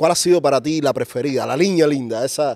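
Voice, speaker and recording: His tone is dark and mellow, and this man's pitch varies in an ordinary way. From Cuba. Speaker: podcast host. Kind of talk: interview. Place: studio. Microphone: studio mic.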